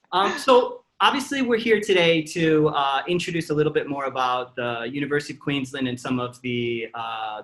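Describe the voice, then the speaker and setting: A man's unremarkable speaking voice with an American accent, fairly high in pitch, at a fairly quick pace with hardly any pauses and lively intonation. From northern US Midwest. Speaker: podcast host. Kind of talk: interview.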